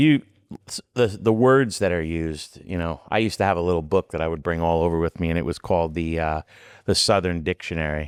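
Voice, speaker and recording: A man with a strong New York accent, a very deep, low pitch, ordinary pitch variation and a fairly quick pace, in a very clean recording with a silent background and a dry, close sound with no echo. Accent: thick New York. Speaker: rock crawling competitor. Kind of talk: casual chat.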